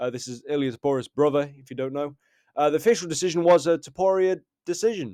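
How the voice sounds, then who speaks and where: In a very clean recording with a silent background, a man with an ordinary speaking voice talks at a fairly quick pace, his fairly high pitch showing ordinary variation. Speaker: MMA commentator. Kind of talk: casual fight recap.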